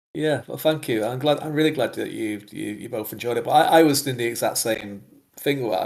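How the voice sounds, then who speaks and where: Talking at a fairly quick pace, a man with a medium-pitched voice shows vocal fry and ordinary pitch variation. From northwest England. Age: 40s. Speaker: fantasy author. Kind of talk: podcast interview. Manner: hesitant, many fillers and repeats.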